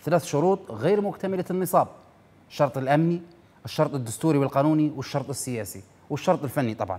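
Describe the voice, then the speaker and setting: Speaking at a fairly quick pace, a man uses lively intonation in a fairly high pitch with a dark, mellow tone. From Libya. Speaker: TV news show host. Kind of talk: political commentary monologue. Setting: TV studio, live. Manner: animated. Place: studio. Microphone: lapel.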